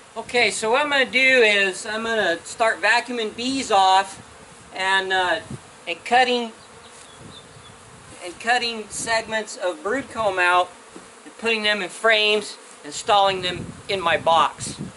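The speech moves at a fairly slow pace with long, frequent pauses over light background noise. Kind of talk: casual work talk and explanation. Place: farm.

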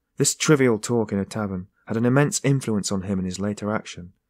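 Pitch varies an ordinary amount in this natural reading voice.

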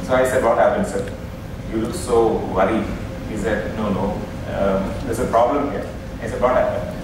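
A man at a moderate pace, strong room echo and noticeable background noise around him. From India. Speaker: session chairman and moderator. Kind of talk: conference session chairing. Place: hall. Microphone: podium.

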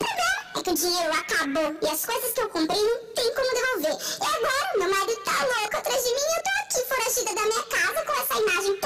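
Over background music, a woman rattles off lines in a squeaky, extremely high put-on character voice at a very fast pace with hardly any pauses.

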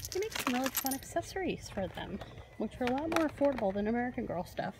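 A woman talks at a fairly quick pace. There is noticeable background noise, and the sound is dry with no echo. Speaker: toy collector vlogger. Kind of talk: casual vlog chat. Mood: excited, cheerful. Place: shop. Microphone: phone near.

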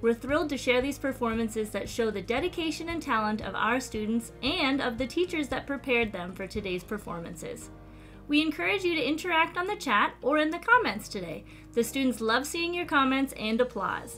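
A woman's high voice, with faint music in the background. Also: fairly quick pace. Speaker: event host. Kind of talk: scripted welcome announcement. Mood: warm, cheerful.

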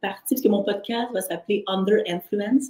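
A woman speaks at a medium pitch and moderate pace, with ordinary pitch variation. Her tone is dark, mellow and somewhat breathy. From Haitian background. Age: 40s. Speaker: entrepreneur and artist. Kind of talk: interview.

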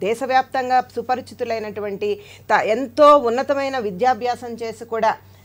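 The woman's pitch is high. Her intonation remains fairly even. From Tirupati, Chittoor district, Andhra Pradesh; Andhra Pradesh. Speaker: political party spokesperson. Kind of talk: heated debate. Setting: studio. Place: studio.

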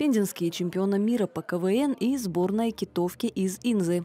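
Heard dry and close with no echo, a woman talks in an unremarkable speaking voice. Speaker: TV news reporter. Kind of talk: news report narration.

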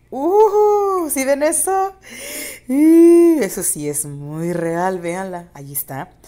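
A woman at a high pitch, very slow pace, very wide pitch swings and big swings in loudness, with noticeable background noise. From Mexico, San Luis Potosí. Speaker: YouTuber. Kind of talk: video commentary. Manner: animated.

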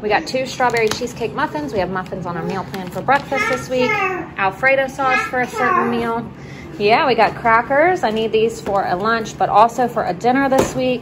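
A woman's fairly quick speech with crowd noise in the background. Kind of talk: casual vlog chat. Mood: relaxed, cheerful. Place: home room. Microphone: phone near.

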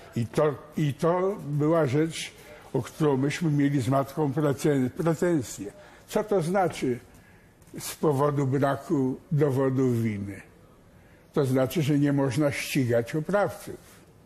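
Speaking at a very slow pace with long, frequent pauses, a man uses a fairly high pitch and a somewhat breathy, dark, mellow tone. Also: ordinary pitch variation. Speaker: son of executed admiral. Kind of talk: TV studio interview. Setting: TV studio.

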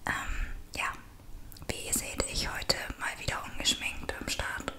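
Whispering, a woman goes at a very slow pace. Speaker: ASMR vlogger. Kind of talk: ASMR makeup routine talking to camera. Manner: soft, whispering. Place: home room. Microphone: studio mic.

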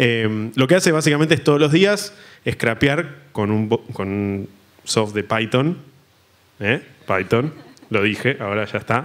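A man speaks at a medium pitch with lively intonation. Long pauses come often. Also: fairly slow pace. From Argentina. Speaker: graphic designer; panelist. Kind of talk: panel discussion; panel discussion talk. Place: stage. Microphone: handheld.

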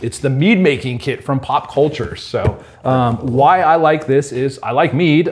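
A man with a fairly high pitch keeps a moderate pace and ordinary pitch variation, while noticeable noise can be heard in the background. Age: 40s. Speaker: homebrewing retailer video host. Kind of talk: casual chat. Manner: animated.

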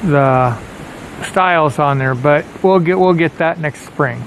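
The speech moves at a very slow pace. The sound is dry with no echo, with light background noise. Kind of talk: casual vlog chat. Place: open country. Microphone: phone near.

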